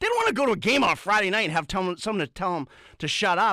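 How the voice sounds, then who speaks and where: In an American accent, a man talks at a very fast pace in a raised, projected voice, his high pitch making very wide swings, with a dry, close sound and no echo. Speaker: radio sports show co-host. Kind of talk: rant on sports radio. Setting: radio studio. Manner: loud; animated, fired up.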